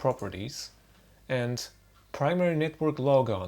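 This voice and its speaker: A man speaks with a non-native accent and ordinary pitch variation. The recording is very clean, with a silent background. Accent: noticeable non-native. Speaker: tech tutorial maker. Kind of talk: unscripted screen-recording tutorial. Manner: casual, wry.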